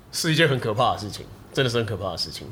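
Amid audible room echo, a man talks very fast with lively intonation. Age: late 30s. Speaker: video production company head. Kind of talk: casual chat.

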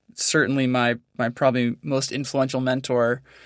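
A flat, monotone man with an American accent on a very clean recording with a silent background. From US, Northern California. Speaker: conservation biologist and hunter. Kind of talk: interview conversation.

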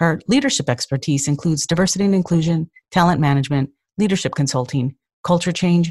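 A very deep, low-pitched woman, somewhat breathy and very fast, with ordinary pitch variation, dry, close sound with no echo, and a quiet background. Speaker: podcast host. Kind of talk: interview.

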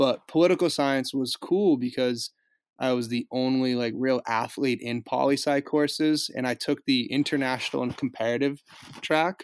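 A plain, everyday voice with an American accent speaks at a moderate pace with fairly even intonation. The recording is very clean, with a silent background and a dry, close sound with no echo. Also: man, medium pitch for a man. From Boston suburbs, Massachusetts. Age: 20s. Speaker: former pro hockey player, vegan cyclist activist. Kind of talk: casual interview.

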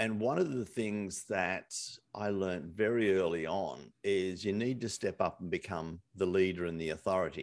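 A man with an Australian accent speaks at a very deep, low pitch, moderate in pace with ordinary pitch variation. The recording is very clean, the background silent. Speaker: entrepreneur and business coach. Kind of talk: casual interview.

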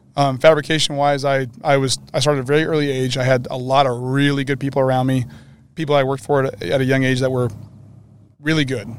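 Speaking very fast with fairly even intonation, a man uses a medium-pitched voice in an American accent. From Northern California. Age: 40s. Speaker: race car fabricator. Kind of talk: casual interview. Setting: outdoors at a desert race event.

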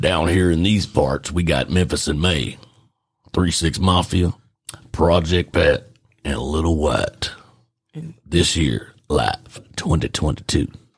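A raspy, put-on character voice speaks at a very slow pace. Long pauses come often. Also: man, very deep, low pitch for a man. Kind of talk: commercial ad-read. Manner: folksy, pitchman-like.

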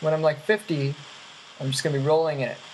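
A woman speaks with a very deep, low pitch and fairly even intonation. Noticeable background noise runs behind her. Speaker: previous guest calling in.

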